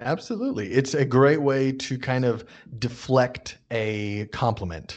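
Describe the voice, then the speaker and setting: A plain, everyday voice with an American accent, fairly slow, against a quiet background. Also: man, medium pitch for a man, ordinary pitch variation. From United States. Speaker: guest expat and travel tips giver. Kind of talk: casual chat. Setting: studio.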